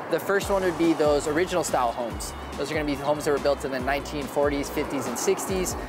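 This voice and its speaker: Music plays in the background while a man talks at a very fast pace. The sound is dry with no echo. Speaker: real estate vlogger. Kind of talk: casual vlog chat. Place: bar. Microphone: lapel.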